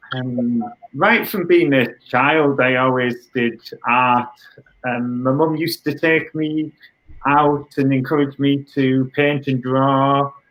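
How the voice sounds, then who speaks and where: A man speaks in a British accent, his pitch fairly high. He talks at a very slow pace with fairly even intonation. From northern England, Middlesbrough. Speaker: artist. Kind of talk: interview.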